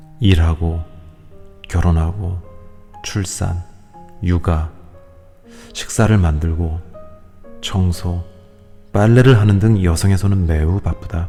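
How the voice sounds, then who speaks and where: Very deep, low male voice at a very slow pace with fairly even intonation, music in the background. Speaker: audiobook reader. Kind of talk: audiobook reading of a self-help book. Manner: soft, calm, ASMR-style reading.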